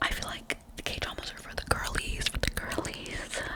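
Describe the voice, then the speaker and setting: Whispering at a fairly slow pace, a woman can be heard over noticeable background noise. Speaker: ASMR creator. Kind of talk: whispered ASMR ramble. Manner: whispered; casual, rambling, repetitive.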